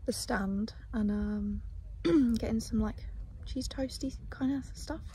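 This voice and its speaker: Over noticeable background noise, a woman does a croaky, put-on character voice. She talks at a fairly slow pace. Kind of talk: casual vlog chat.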